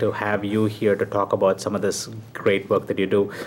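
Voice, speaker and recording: Fairly quick, flat, monotone speech from a man with a fairly low pitch, over noticeable background noise. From South India. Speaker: TV talk show host. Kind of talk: interview.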